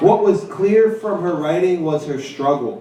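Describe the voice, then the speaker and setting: Loud speech at a fairly slow pace with ordinary pitch variation, audible room echo and noticeable background noise. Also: man. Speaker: poet and teacher. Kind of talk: poetry reading at a live event; casual talk to audience.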